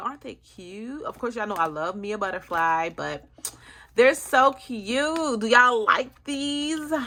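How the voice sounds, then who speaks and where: This woman's voice is high-pitched, bright and sharp, with very wide pitch swings. She speaks in a raised, projected voice. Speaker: budgeting vlogger. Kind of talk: casual vlog. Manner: fast.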